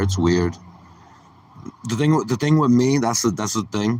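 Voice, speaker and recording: A man talks with lively intonation at a moderate pace. The recording is very clean, with a silent background. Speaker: stand-up comedian streamer. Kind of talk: casual livestream chat. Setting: outdoors. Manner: loud; rambling, halting with many fillers.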